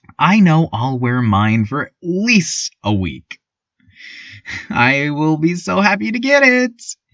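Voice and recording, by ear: Using a put-on character voice, a man speaks at a slow pace with a fairly high pitch, a fairly bright tone, and big pitch swings.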